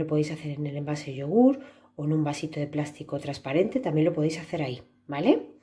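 Somewhat breathy, a woman speaks with a very deep, low pitch and a dark, mellow tone. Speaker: preschool teacher. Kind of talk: craft tutorial for children.

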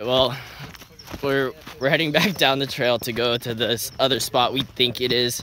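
Light background noise accompanies a man whose voice sounds dry, with no echo. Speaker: vlogger. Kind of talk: casual vlog chat. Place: open country. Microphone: phone near.

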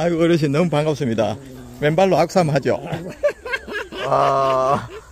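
A man at a fairly slow pace with ordinary pitch variation, in a dry sound with no echo, over noticeable background noise. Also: fairly high pitch for a man. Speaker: vlogger interviewer. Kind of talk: casual interviewer talk. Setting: outdoors. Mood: cheerful, warm. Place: open country. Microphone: phone near.

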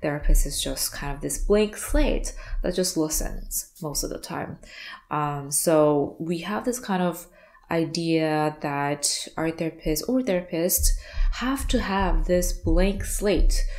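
In a quiet background, a woman speaks at a very slow pace with ordinary pitch variation. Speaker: art therapy business coach. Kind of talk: educational talking-head vlog. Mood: warm, light laughter. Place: home room.

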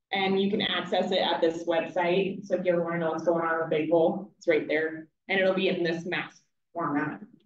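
A woman talks at a fairly quick pace, with light background noise and audible room echo. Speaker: hydrologist presenting report. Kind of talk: meeting presentation. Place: hall.

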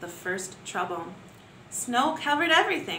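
A woman speaks at a fairly high pitch and fairly slow pace, with lively intonation and a bright, sharp tone. Audible room echo surrounds her.

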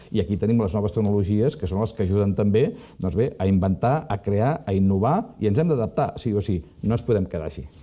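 The background is quiet as a man speaks fairly quickly with lively intonation. His tone is dark and mellow, his pitch fairly low. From Catalonia, Costa Brava (Palamós); Catalonia, Spain. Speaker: business consultant; interview guest. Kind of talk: interview. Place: studio. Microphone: lapel.

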